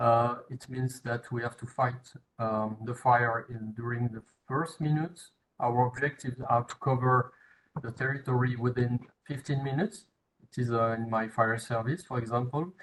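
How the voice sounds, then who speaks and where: With a French accent, a man speaks at a moderate pace in a medium pitch, somewhat breathy and with fairly even intonation. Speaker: firefighter. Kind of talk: webinar presentation.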